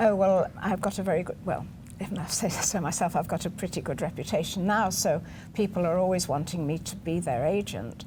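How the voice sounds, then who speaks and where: Dark and mellow in tone, the voice is somewhat breathy and carries an English accent. It moves at a fairly quick pace with ordinary pitch variation. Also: woman, medium pitch for a woman. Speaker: literary agent. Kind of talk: interview.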